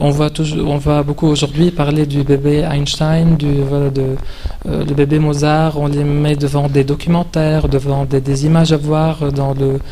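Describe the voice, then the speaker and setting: A man with a non-native accent speaks in a monotone with flat intonation. There is noticeable background noise and audible room echo. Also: fairly high pitch for a man, fairly slow pace. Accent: foreign accent in French. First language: not French (speaking French). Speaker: video game specialist, speaker. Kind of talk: conference talk. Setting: conference hall with audience, standing. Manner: halting, many hesitations.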